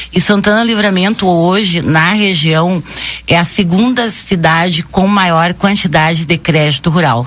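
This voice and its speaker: At a fairly slow pace, a woman speaks at medium pitch with ordinary pitch variation and very even loudness. Noticeable background noise is present. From southern Brazil, Rio Grande do Sul. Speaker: bank branch manager. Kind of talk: radio interview.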